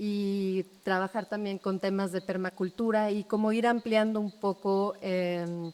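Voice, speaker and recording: In a Mexico City accent, a woman speaks at a fairly slow pace in a medium pitch with monotone, flat intonation. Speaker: architect. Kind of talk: public talk.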